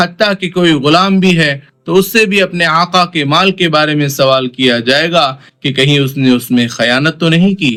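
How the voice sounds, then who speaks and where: A man's fairly high voice with ordinary pitch variation, music playing in the background. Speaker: Islamic preacher. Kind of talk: religious sermon explaining a hadith to the audience.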